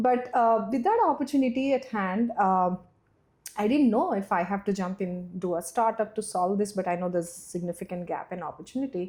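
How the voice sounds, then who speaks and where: A woman with a Telugu accent speaks at a medium pitch in a dark, mellow tone. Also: ordinary pitch variation, fairly quick pace. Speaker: startup founder. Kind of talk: podcast interview. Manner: halting, many fillers.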